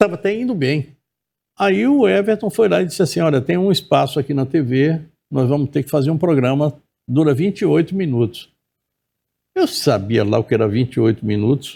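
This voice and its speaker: Somewhat breathy and dark, mellow in tone, a man speaks at a fairly high pitch with very wide pitch swings. His pace is fairly quick, and the recording is very clean with a silent background. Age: 70s. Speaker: journalist and TV presenter. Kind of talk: interview.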